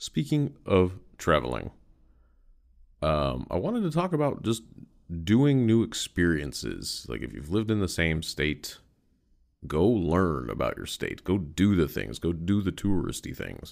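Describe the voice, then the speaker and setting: Against a quiet background, a man with a very deep, low pitch talks at a fairly slow pace with very wide pitch swings. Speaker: podcast host. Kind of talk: casual solo podcast monologue. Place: home room.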